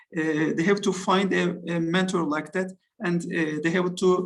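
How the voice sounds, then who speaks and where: This man speaks at a moderate pace in a Turkish accent, his high voice keeping a fairly even intonation. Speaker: football coach. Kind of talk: interview. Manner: halting.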